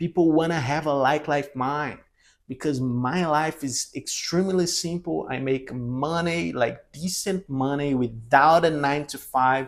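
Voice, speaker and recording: A man with a non-native accent speaks at a fairly slow pace in a fairly high voice. The recording is very clean, with a silent background. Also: ordinary pitch variation. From Brazil. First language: Portuguese. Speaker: language teacher and content creator. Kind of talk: casual vlog monologue. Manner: halting, with fillers and repetitions.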